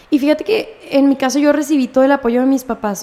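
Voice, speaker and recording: A woman talks at a fairly quick pace and high pitch. Noticeable background noise runs behind her. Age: 20s. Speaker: marketing professional and music student. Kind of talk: casual chat.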